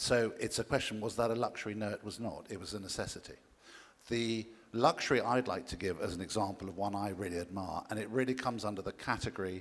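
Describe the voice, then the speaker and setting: Speaking at a fairly quick pace with an English accent, the voice shows ordinary pitch variation. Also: man. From England. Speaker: conference panelist, diamond industry expert. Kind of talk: panel discussion.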